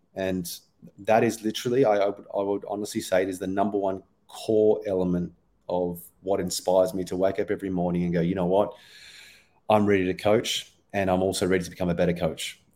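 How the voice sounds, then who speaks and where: A man with an Australian accent talks at a very fast pace in a very deep, low pitch, his intonation monotone and flat. His tone is dark and mellow, on a very clean recording with a silent background. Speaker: performance coach. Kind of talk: casual interview.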